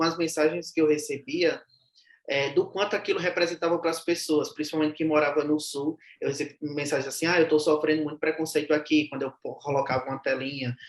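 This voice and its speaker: This is a man with a normal speaking voice at a fairly high pitch. He talks at a fairly quick pace with fairly even intonation. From Brazilian Northeast. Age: young. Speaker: social media content creator, humorist. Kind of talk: interview conversation.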